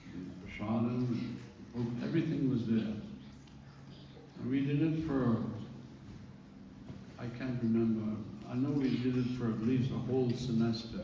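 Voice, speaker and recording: There is audible room echo and noticeable background noise as a man speaks at a medium pitch. He takes long, frequent pauses. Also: ordinary pitch variation. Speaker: devotee giving memorial tribute. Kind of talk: memorial speech. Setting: memorial service. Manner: slow; halting.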